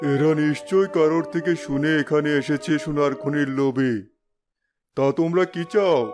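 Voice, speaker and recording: A man performs a cartoonish character voice, fairly high in pitch and at a fairly slow pace. Faint music plays in the background. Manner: authoritative.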